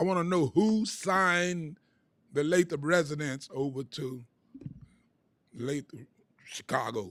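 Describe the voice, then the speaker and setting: High male voice in an animated tone. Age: 70s. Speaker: public housing resident speaking at public comment. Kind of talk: public comment at board meeting. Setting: public board meeting.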